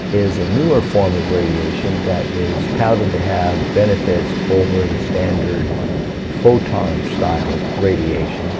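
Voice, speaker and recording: Loud background noise behind a man speaking fairly slowly. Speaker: motorcycle vlogger. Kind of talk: voice-over narration about personal health. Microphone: handheld.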